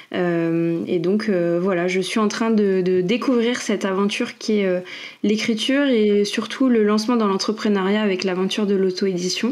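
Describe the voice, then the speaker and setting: Amid audible room echo, a woman speaks at a moderate pace and a medium pitch, with ordinary pitch variation and very even loudness. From Île-de-France (Paris region), France. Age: 30s. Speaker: fantasy author and product manager. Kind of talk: podcast interview. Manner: many hesitations (euh).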